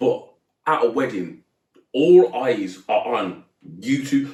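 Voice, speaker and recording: A loud man's voice with very wide pitch swings and vocal fry. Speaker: podcast co-host, teacher and footballer. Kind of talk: casual chat.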